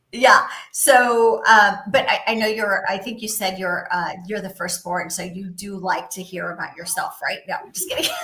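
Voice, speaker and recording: A woman speaks at a medium pitch and a moderate pace with ordinary pitch variation. Her loudness swings widely, and there is noticeable background noise. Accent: American. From Southern California (Orange County). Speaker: property management industry executive. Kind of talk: podcast interview. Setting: live video stream.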